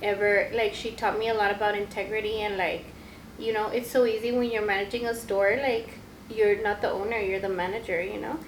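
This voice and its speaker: In a Spanish accent, a woman talks fairly quickly at a fairly high pitch with monotone, flat intonation, amid noticeable background noise and audible room echo. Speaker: podcast co-host, store manager. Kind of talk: casual chat.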